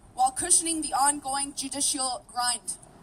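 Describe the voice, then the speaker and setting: Moderate pace and ordinary pitch variation, with a Canadian accent. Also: woman. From Canada, Vancouver. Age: 30s. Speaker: activist and former flight attendant. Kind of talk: rally speech.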